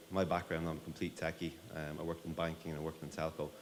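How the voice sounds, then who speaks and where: A man with an Irish accent talks at a very fast pace, and audible room echo can be heard. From Ireland. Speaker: tech company CEO. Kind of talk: conference talk.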